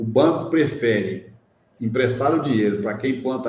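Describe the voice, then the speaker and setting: Audible room echo follows a man with vocal fry speaking at a moderate pace. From Minas Gerais, Brazil. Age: 60s. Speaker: social entrepreneur in solar energy. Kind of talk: interview conversation.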